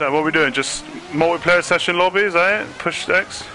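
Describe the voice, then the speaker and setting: Against noticeable background noise, a man with a high voice speaks at a moderate pace with ordinary pitch variation. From UK. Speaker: gaming streamer. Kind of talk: casual gameplay chat. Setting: live stream with game chat. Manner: animated, repetitive.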